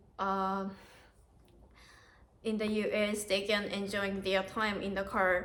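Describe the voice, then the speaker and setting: Amid audible room echo, a woman speaks at a very slow pace and medium pitch, in monotone, flat intonation with long, frequent pauses. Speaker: au pair, vlogger. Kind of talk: interview. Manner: halting.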